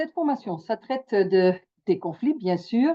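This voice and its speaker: A woman's fairly high voice rises and falls in very wide pitch swings. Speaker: mediator and trainer. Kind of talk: webinar presentation. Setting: video call. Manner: halting.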